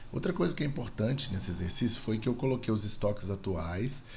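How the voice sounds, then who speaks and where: A man's somewhat breathy voice is heard with audible room echo around it. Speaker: university lecturer. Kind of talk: tutorial. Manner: fast.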